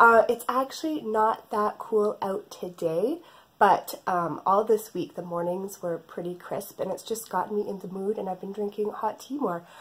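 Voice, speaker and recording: A woman with a Canadian accent, medium pitch and ordinary pitch variation, somewhat breathy, at a moderate pace with hardly any pauses. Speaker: knitting podcaster. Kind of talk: casual chat.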